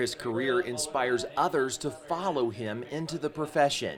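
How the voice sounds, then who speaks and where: With ordinary pitch variation and a moderate pace, a man talks while music sounds behind him. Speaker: TV news reporter. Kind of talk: TV news feature narration.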